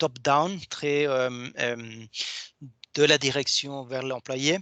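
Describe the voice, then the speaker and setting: This man's voice is fairly high, with a bright, sharp tone. The sound is dry and close with no echo, over a quiet background. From Argentina. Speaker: software company co-founder. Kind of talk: webinar presentation. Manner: halting.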